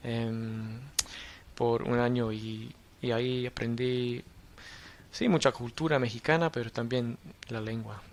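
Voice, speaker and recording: Very slow speech in an Australian accent, fairly even in intonation, with long, frequent pauses. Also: man, medium pitch for a man. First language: English (speaking Spanish). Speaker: university lecturer in public policy. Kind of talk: podcast interview. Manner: halting, many fillers.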